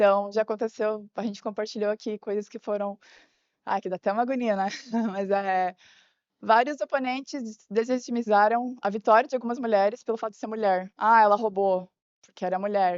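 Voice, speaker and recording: A woman's fairly high voice at a fairly quick pace. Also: fairly even intonation. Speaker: chess player at women's chess meeting. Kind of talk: group discussion summary at event. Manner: fast.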